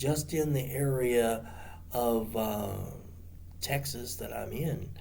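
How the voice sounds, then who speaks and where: A man talks with lively intonation while audible room echo carries his voice. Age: 60s. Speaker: martial arts instructor. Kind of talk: casual monologue to camera. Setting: seated on the ground. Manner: halting, many fillers.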